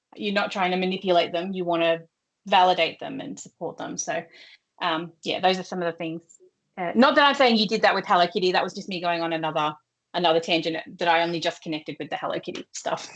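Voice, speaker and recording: In an Australian accent, a woman with a fairly low voice talks at a very fast pace, her pitch varying in an ordinary way while her loudness rises and falls sharply. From Australia, partly North Queensland. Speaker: workshop trainer on neuro-affirming practice. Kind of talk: professional training presentation. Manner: no swearing, lower, professional tone.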